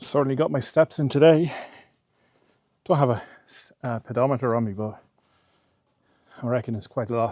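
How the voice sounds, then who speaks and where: An Irish-accented man talks at a fairly quick pace and a medium pitch. He leaves long, frequent pauses. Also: ordinary pitch variation. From Ireland. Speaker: travel vlogger. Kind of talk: casual vlog narration. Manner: soft-spoken.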